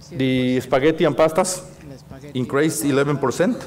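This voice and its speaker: A man talks at a moderate pace with a Mexican accent. Audible room echo and noticeable background noise surround him. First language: Spanish. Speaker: industry council president. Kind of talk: conference presentation. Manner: halting, many fillers and repetitions.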